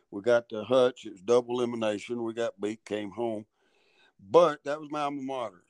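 Here is a man in a Southern US accent at medium pitch. The sound is dry and close with no echo. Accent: Southern US (Georgia). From US South, Georgia (Dalton). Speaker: college basketball coach. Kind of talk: interview.

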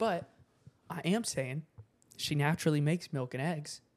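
A man's fairly high voice, a normal speaking voice, at a moderate pace with ordinary pitch variation. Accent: American. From US South. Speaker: podcast co-host. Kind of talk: casual solo chat to camera.

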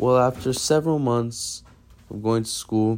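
A man at medium pitch with a normal speaking voice, at a moderate pace. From Massachusetts and Brazil. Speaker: storyteller. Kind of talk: personal story reading.

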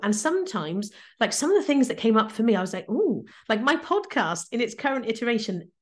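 Against a quiet background, a woman with an English accent speaks fairly quickly at a fairly high pitch. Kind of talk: interview.

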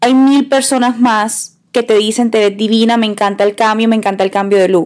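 A woman with an ordinary speaking voice and a fairly high pitch speaks at a moderate pace with hardly any pauses, very even loudness and fairly even intonation. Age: 20s. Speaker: podcast co-host, makeup influencer. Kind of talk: casual chat.

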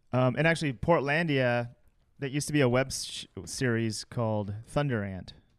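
Against a quiet background, a man with an American accent talks at a moderate pace in a medium pitch, with ordinary pitch variation and an unremarkable speaking voice. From Chicago. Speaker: comedy video editor and director. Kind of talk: casual chat.

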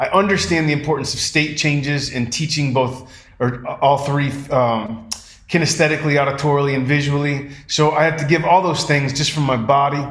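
There is audible room echo around this man. His pitch is fairly high. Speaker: performance poet. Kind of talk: casual interview chat. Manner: fast, with stumbles and repeats.

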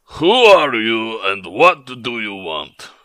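In a gruff, put-on character voice of medium pitch, a man speaks at a very slow pace. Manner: gruff, challenging.

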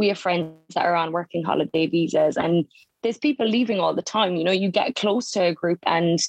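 A woman's fairly low voice in a Cork accent, at a fairly quick pace with ordinary pitch variation and very even loudness, in a dry, close sound with no echo. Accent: southern Irish (Cork). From Ireland, County Cork. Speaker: nurse. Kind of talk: casual interview chat.

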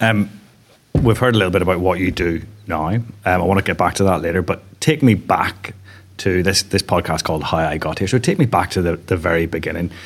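A man with a Northern Irish accent talks at a fairly quick pace in a very deep, low voice. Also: ordinary pitch variation. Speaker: podcast host. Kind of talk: interview. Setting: on a stage.

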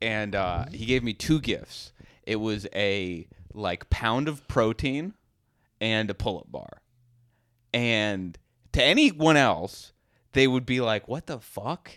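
A man's very slow speech with lively intonation and long, frequent pauses on a very clean recording with a silent background. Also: medium pitch for a man, dry, close sound with no echo. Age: 20s. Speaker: comedian and podcast co-host. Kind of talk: casual chat.

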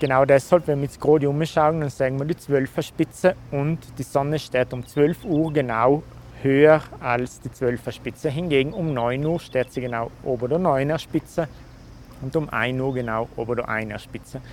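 Using a normal speaking voice, a man talks at a moderate pace and a fairly high pitch, with fairly even intonation. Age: 30s. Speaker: nature photographer. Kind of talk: interview. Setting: at his home.

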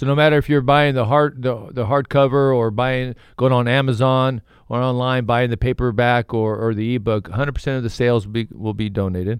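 A man's ordinary speaking voice, medium in pitch, with fairly even intonation and hardly any pauses, on a very clean recording with a silent background. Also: moderate pace. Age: 40s. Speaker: author in recovery. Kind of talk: casual chat.

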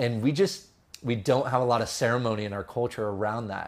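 On a very clean recording with a silent background, a man with a Californian accent speaks at a medium pitch with ordinary pitch variation. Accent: Californian American. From California, San Jose. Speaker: filmmaker. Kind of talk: podcast interview.

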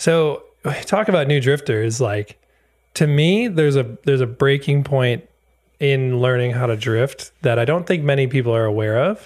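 This is an unremarkable speaking voice with an American accent, moving at a moderate pace with ordinary pitch variation. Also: man, fairly high pitch for a man, very even loudness. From Wisconsin, US. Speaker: drift parts business owner and drift industry figure. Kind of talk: casual chat.

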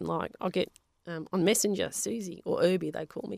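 With an Australian accent and vocal fry, a woman speaks at a moderate pace and a fairly low pitch in a dry, close sound with no echo. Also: very clean recording, silent background. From Western Australia (Perth), Polish-speaking home. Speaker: science teacher and geologist. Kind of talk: interview.

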